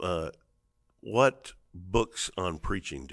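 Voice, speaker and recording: Vocal fry over a quiet background. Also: man. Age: 50s. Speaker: podcast host, seminary dean and pastor; podcast host, pastor. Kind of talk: interview conversation. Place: studio. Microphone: studio mic.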